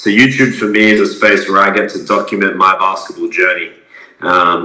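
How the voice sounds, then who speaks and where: A man speaks with an Australian accent. The room echo is audible, and there is noticeable background noise. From Adelaide, South Australia. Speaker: semi-professional basketball player and content creator. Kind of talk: casual interview.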